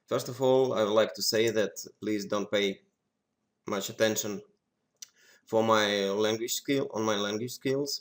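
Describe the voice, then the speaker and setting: A man's fairly low voice with a Russian accent, fairly slow and monotone in flat intonation, on a very clean recording with a silent background. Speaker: poker software developer. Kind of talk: tutorial. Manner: halting.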